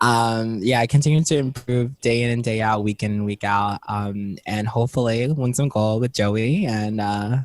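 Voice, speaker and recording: The speaker has a New Jersey accent. There are hardly any pauses. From New Jersey, Jersey City. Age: 20s. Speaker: professional wrestler. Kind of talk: casual interview chat.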